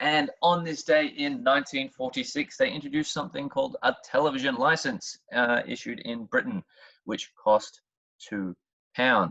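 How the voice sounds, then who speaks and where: This man has an Australian accent and a fairly high pitch. His tone is bright and sharp, and his intonation is lively. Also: moderate pace. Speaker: history teacher. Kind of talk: educational talk. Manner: conversational, sarcastic asides.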